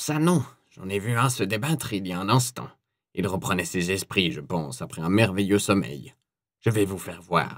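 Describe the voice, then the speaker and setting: Using a put-on character voice, the speaker talks at a moderate pace with a creaky, hissing sound. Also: man, fairly low pitch for a man. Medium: read story. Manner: hissing, gloating.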